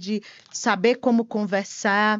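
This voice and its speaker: The speaker has a strong Piauí accent and fairly even intonation. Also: woman. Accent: strong Piauí (northeastern Brazilian). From Brazil, Piauí. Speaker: tax compliance consultant, company partner. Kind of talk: podcast interview. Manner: halting, repeats words.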